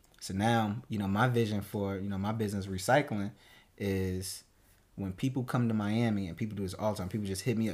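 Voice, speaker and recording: A man with a New Jersey accent talks at a fairly quick pace in a fairly low pitch, keeping fairly even intonation. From New Jersey, Newark. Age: 20s. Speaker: entrepreneur. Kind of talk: casual chat.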